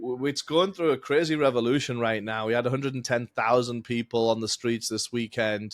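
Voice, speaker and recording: Here a man speaks fairly quickly with hardly any pauses, at a medium pitch with ordinary variation. The recording is very clean and dry, close with no echo and a silent background. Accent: English. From England. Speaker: accounting firm founder, tax strategist. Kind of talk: podcast interview.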